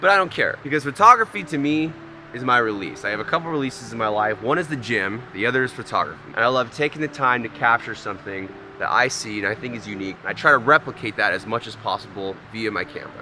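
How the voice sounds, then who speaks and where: Loud over noticeable background noise, a man speaks at a very fast pace and medium pitch with lively intonation. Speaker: amateur landscape photographer, vlogger. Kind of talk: outdoor vlog. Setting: outdoors by waterfall. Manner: casual.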